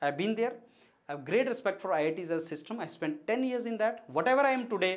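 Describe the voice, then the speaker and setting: A man's voice with very wide swings in pitch. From India. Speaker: education mentor, PhD holder. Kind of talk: educational monologue. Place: studio. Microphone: lapel.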